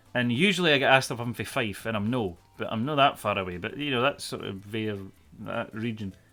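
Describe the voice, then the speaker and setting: Music plays in the background as a man talks at a very fast pace. His medium-pitched voice has ordinary pitch variation. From central Scotland, between Glasgow and Edinburgh. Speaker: streamer. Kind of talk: casual chat. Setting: live stream. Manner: animated.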